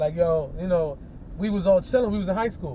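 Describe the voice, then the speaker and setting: A man speaks very fast in a New York accent. His pitch is fairly high. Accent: New York hip hop vernacular. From New York City. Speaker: hip hop artist. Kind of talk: casual chat. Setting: in a car. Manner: animated.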